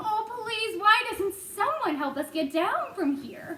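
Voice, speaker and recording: A put-on character voice, female-sounding and extremely high-pitched, talks at a fairly slow pace over clear background noise. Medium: read story.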